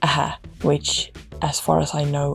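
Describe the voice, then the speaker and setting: There is noticeable background noise. Over it, a woman speaks with a Finnish accent. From Finland. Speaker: YouTuber. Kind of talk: scripted narration.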